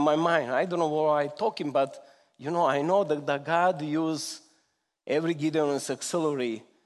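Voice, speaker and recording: A man's fairly high voice in a strong Serbian accent, at a moderate pace, against a quiet background. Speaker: visiting Gideons member giving a testimony. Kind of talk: testimony. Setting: church. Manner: emotional, halting with simple grammar.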